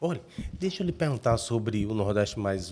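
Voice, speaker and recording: A man's fairly low pitch with a dark, mellow tone, at a moderate pace. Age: 60s. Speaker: journalist, podcast host. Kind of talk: interview.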